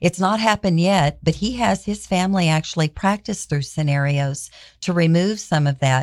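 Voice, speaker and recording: A woman speaks in an ordinary speaking voice, fairly low in pitch, at a moderate pace with ordinary pitch variation. Her loudness stays very even on a very clean recording with a silent background. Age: 60s. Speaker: founder of child-protection nonprofit. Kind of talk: radio interview. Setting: radio studio.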